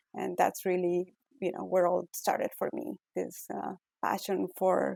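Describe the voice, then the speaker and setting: A woman speaks at a fairly slow pace. Her medium-pitched voice has a dark, mellow tone. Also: dry, close sound with no echo. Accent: Ecuadorian. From Ecuador. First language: Spanish. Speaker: physician-scientist, author. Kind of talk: interview. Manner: hesitant, many fillers.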